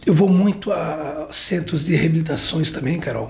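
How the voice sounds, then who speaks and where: A high-pitched man speaks at a moderate pace amid audible room echo and noticeable background noise. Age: 60s. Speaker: pastor and former handball coach. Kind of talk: interview. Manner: halting, filler-heavy speech.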